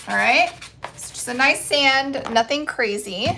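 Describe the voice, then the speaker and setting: Using a raised, projected voice, a woman with a high pitch speaks with ordinary pitch variation. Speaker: craft livestreamer. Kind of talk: live stream craft demo. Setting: live stream. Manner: casual chatty; voice cracking.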